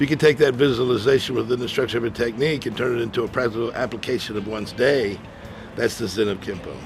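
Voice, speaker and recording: Over noticeable background noise, a man talks at a very fast pace. His pitch is medium and his intonation fairly even. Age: 60s. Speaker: martial artist and motivational speaker. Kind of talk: interview. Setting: martial arts event.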